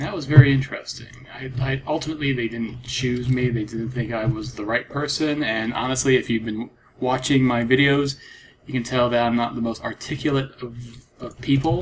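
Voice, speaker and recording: Noticeable background noise sits behind speech that keeps a moderate pace and a fairly even intonation. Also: man. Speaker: gaming video creator. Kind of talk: casual gameplay commentary. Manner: halting.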